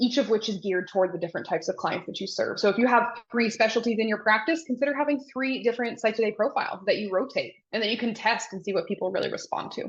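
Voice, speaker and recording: A woman with a somewhat breathy, fairly high voice talks at a very fast pace with hardly any pauses. Her pitch varies in an ordinary way. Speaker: therapy marketing consultant. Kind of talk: live Q&A. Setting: livestream.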